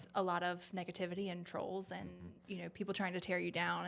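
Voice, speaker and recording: A woman speaks with a Southern accent at a medium pitch. She talks at a fairly quick pace. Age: 20s. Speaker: pageant winner and business owner. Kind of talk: podcast interview.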